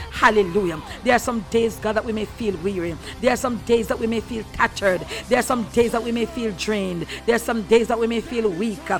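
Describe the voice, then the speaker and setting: At a fairly quick pace, the words come through over noticeable background noise. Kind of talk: fervent prayer. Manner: fervent, rhythmic, repeating hallelujah with rising intensity.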